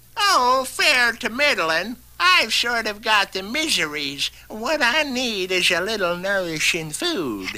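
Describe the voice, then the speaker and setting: A put-on character voice with a fairly high pitch swings very widely in pitch. The pace is fairly slow, with hardly any pauses. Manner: feigned frailty.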